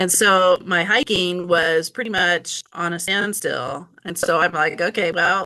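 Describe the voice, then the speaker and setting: A woman's fairly low voice, fairly even in intonation and fairly slow in pace, amid noticeable background noise. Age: 60s. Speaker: patient sharing health experience. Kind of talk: interview testimony.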